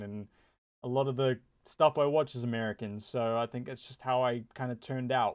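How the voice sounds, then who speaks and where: The man's medium-pitched voice stays monotone, with flat intonation. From New Zealand. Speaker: gaming YouTuber. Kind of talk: casual commentary vlog. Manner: casual, halting with many repetitions and fillers.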